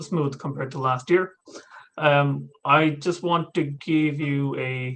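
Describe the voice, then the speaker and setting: A man is speaking in a fairly high pitch. His intonation stays fairly even. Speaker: cybersecurity analyst and guest lecturer. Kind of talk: lecture. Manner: soft-spoken; hesitant, many fillers.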